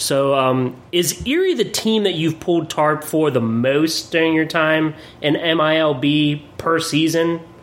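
Over noticeable background noise, a man with a fairly high pitch talks at a very slow pace with very even loudness. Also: ordinary pitch variation, hardly any pauses. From Pennsylvania, Williamsport. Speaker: podcast host. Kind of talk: casual interview.

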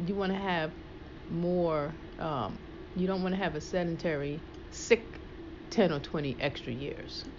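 A fairly low-pitched woman at a fairly slow pace, with ordinary pitch variation, long and frequent pauses, and audible room echo. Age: 50s. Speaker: personal trainer and fitness show host. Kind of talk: casual chat.

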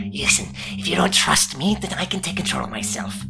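A put-on character voice at a fairly quick pace over loud background noise. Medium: actual play. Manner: cold, dismissive, domineering.

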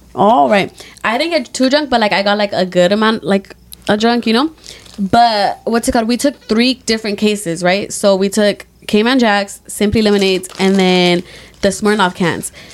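A woman's voice at a moderate pace, very even in loudness, with ordinary pitch variation and noticeable background noise. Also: medium pitch for a woman. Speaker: podcast co-host. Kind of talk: casual chat.

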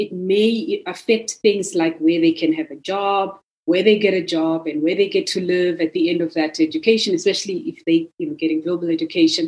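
At a fairly quick pace with hardly any pauses, a woman with a medium pitch and an unremarkable speaking voice talks with ordinary pitch variation. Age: young. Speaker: discussion series convenor. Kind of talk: moderated panel discussion.

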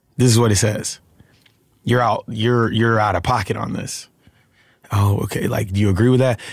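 Using a monotone, flat intonation, a man with an American accent and fairly low pitch talks at a moderate pace with long, frequent pauses. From Alabama, US South. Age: 30s. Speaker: actor. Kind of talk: casual interview chat.

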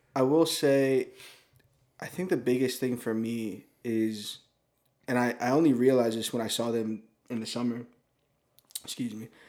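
This man has an ordinary speaking voice at medium pitch. He talks at a moderate pace with fairly even intonation. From American Samoa. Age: 20s. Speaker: camera helper and ministry intern. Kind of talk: casual chat. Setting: studio.

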